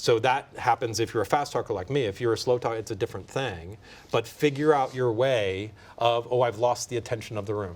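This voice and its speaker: The recording is very clean with a silent background. A man speaks at a medium pitch and a fairly quick pace, with ordinary pitch variation. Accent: American. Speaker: documentary filmmaker and pitching mentor. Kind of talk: panel discussion. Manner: fast.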